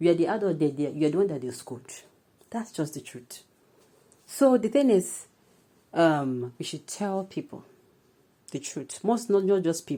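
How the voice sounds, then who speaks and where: A woman speaks with a Nigerian accent and lively intonation. Her tone is dark and mellow. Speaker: news presenter and commentator. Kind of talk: news reading; casual commentary. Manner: halting.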